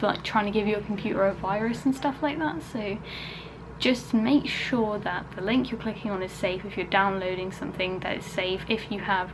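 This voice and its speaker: At a moderate pace, a woman with a medium pitch talks over noticeable background noise. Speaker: vlogger. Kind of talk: casual vlog talk to camera. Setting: at home. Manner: soft-spoken.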